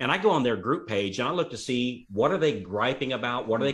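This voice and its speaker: The man talks at a very fast pace. His pitch is medium, with ordinary variation. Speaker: mortgage industry coach. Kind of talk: casual panel chat. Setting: video call. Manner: occasional stutter, searches for words.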